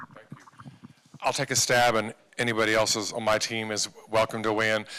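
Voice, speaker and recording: A man's medium-pitched voice, bright and sharp in tone, at a fairly quick pace. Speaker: health district executive. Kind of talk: public meeting Q&A. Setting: community meeting with interpreters. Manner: fast.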